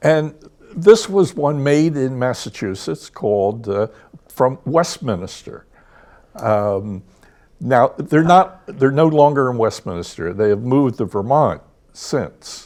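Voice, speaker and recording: With an American accent, a man speaks at a very slow pace using very wide pitch swings. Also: medium pitch for a man. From Philadelphia area, US. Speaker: food historian. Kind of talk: casual interview about food history.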